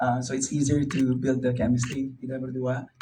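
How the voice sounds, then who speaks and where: Someone with a non-native accent speaks at a moderate pace. There is noticeable background noise and audible room echo. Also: man. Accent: non-native Indonesian. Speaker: actor. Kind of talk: press conference. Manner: halting, many fillers.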